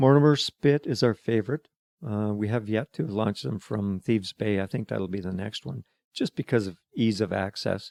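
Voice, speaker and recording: A man in a western Canadian accent talks at a moderate pace with lively intonation, fairly low in pitch, in a dry, close sound with no echo. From Alberta, Calgary. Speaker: retired excavation worker. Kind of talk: interview. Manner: halting.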